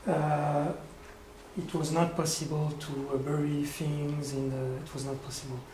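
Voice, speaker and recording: Speaking at a fairly slow pace with a French accent, this voice comes with noticeable background noise. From France. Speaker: conceptual artist. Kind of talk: q&a discussion. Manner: halting.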